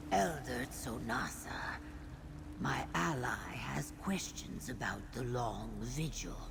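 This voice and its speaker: A whispered, put-on character voice at a fairly slow pace over loud background noise. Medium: video game. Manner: formal, resolute.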